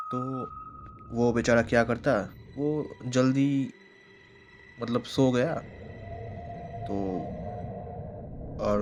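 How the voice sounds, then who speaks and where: With music playing behind him, a man at a medium pitch talks in fairly even intonation, leaving long, frequent pauses. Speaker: YouTube horror storyteller. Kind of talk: storytelling.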